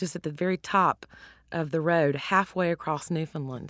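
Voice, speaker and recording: A woman speaks at a moderate pace with a Southern US accent, her pitch fairly low. Her pitch varies in an ordinary way, and the sound is dry and close with no echo. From US South. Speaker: cookbook author and chef. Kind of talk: interview.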